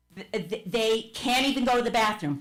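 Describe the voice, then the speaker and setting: Lively intonation from a woman with a New Jersey accent, with audible room echo. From New Jersey, Verona. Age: 70s. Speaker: public commenter, retired teacher. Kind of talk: public comment at council meeting. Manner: impassioned, emphatic.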